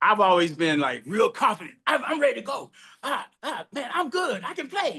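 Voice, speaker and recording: The speaker uses a raised, projected voice with a bright, sharp, animated tone, very wide pitch swings, and a moderate pace. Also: man, extremely high pitch for a man. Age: 70s. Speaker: podcast host and drummer. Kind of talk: casual interview chat.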